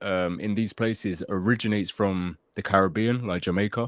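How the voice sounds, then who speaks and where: With a London accent, a man talks at a moderate pace and with ordinary pitch variation, the sound dry and close with no echo. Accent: London, drops T's. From London suburbs, England. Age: 30s. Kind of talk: casual interview chat.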